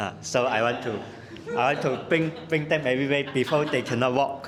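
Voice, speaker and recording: A man of medium pitch talks at a moderate pace with ordinary pitch variation. Room echo is audible, and background noise is noticeable. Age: 20s. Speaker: workshop participant. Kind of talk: self-introduction in a training session. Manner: halting.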